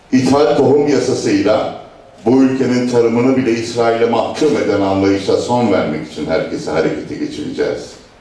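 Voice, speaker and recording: With audible room echo, a man speaks at a moderate pace. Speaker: local party chairman. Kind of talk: political speech. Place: hall.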